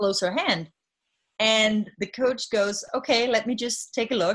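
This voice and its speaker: The speaker is a woman with a Danish accent. She talks at a moderate pace in a fairly high pitch. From Denmark. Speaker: health tech CEO. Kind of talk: interview. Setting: video call.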